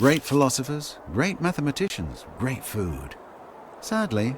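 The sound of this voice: Speaking at a fairly low pitch, a man makes big pitch swings.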